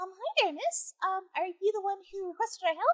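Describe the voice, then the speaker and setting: Putting on a squeaky character voice at an extremely high pitch, a woman talks at a fairly quick pace with ordinary pitch variation, the sound dry and close with no echo. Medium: actual play. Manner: hesitant, stammering.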